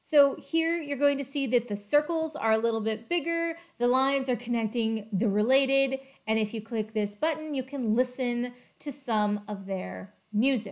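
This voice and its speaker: At a moderate pace, a woman with a high pitch speaks with ordinary pitch variation against a quiet background. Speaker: educator on data topics. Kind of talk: tutorial. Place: home room. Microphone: webcam.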